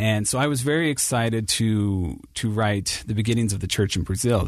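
A man with a plain, everyday voice talks at a fairly quick pace and a fairly low pitch, with ordinary pitch variation. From Ohio, Cincinnati. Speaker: church history editor. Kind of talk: interview.

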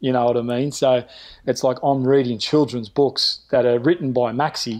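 Here a man talks at a moderate pace with an Australian accent. His pitch is medium and his intonation fairly even. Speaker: lifeguard. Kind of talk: casual interview chat.

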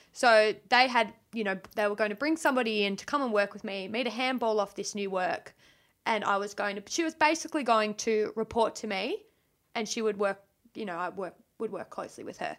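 A woman with an Australian accent, fairly quick in pace, her pitch fairly high with ordinary variation. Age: 20s. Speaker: podcast guest. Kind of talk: casual chat. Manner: animated.

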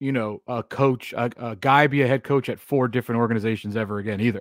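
A man at medium pitch uses an ordinary speaking voice with ordinary pitch variation and a fairly quick pace, the sound dry and close with no echo. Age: 30s. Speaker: sports talk co-host. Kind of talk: casual sports talk show.

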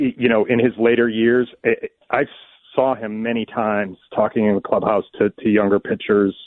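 A man speaks in a plain, everyday voice. His pitch sits in the medium range, and his intonation stays fairly even. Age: 50s. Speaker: newspaper sports columnist. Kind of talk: radio interview.

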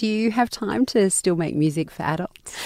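A woman with an Australian accent speaks at a moderate pace. Her tone is dark and mellow, with very wide pitch swings. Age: 40s. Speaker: radio podcast host. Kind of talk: interview. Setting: studio.

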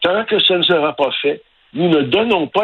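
A man talks with lively intonation while noticeable background noise runs beneath him. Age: 60s. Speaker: concerned local resident. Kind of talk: radio interview.

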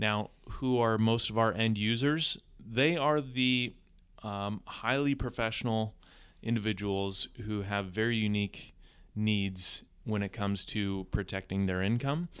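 Talking with an American accent, a man uses a fairly low pitch with ordinary pitch variation at a fairly slow pace. The recording is very clean, with a silent background. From US West Coast, Southern California. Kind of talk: casual interview.

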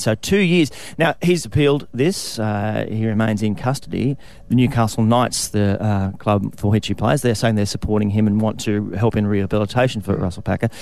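With an Australian accent, a man talks with hardly any pauses and very even loudness. His pitch varies in an ordinary way. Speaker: radio host. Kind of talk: casual chat; news reading.

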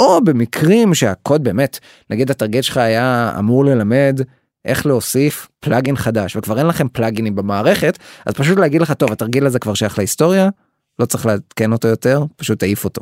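A man with an ordinary speaking voice talks at a medium pitch, a fairly quick pace, and lively intonation. The sound is dry and close, with no echo. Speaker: startup CTO and co-founder. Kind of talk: interview.

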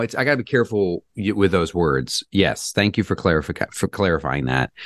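A hoarse man with vocal fry and very wide pitch swings, in a dry, close sound with no echo. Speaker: real estate agent. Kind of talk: casual interview about the housing market.

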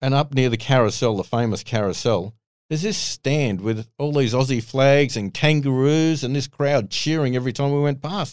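A man's medium-pitched voice in an Australian accent at a moderate pace, with ordinary pitch variation and hardly any pauses, on a very clean recording over a silent background. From Sydney, Australia. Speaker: former racing driver. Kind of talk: casual interview chat.

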